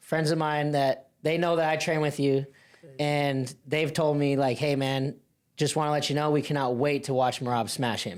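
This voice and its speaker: A man talks at a moderate pace with a fairly high pitch and very even loudness. He has an unremarkable speaking voice with fairly even intonation. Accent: American. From Montana. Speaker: podcast co-host, coach. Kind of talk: podcast chat.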